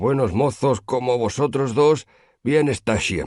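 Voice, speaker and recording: A man's put-on character voice, growling at a medium pitch, with ordinary pitch variation and a fairly slow pace. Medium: read story. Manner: old-fashioned, inverted rustic phrasing.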